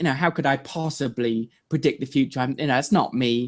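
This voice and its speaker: On a very clean recording with a silent background, a man with a British accent talks at a fairly quick pace. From England. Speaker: online video marketer. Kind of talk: interview. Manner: halting, many fillers.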